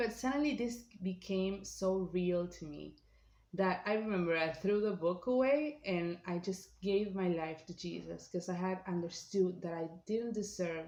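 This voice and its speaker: Speaking at a fairly slow pace, a woman has a non-native accent. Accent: non-native accent, self-remarked. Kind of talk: personal testimony. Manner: halting, many fillers.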